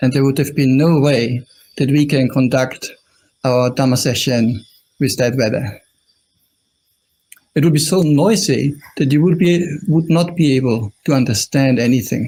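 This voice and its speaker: With an Austrian accent, a man talks at a medium pitch with ordinary pitch variation, his voice somewhat breathy and broken by long, frequent pauses. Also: moderate pace, very even loudness. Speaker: Buddhist monk. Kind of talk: dharma talk. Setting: live stream.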